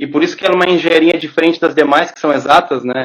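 With a plain, everyday voice, a man speaks at a fairly high pitch and fairly even intonation. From southern Brazil, Porto Alegre. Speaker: agronomist. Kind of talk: casual interview on a live stream.

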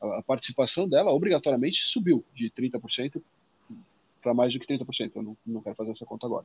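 A somewhat breathy man talks at a fairly quick pace with a medium pitch, ordinary pitch variation and big swings in loudness. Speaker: finance podcast co-host. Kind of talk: casual explanatory chat.

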